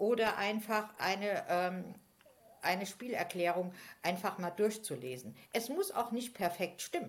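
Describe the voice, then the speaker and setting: A woman talks at a fairly slow pace and a medium pitch. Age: 50s. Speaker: game facilitator. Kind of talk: casual chat. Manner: hesitant, many fillers.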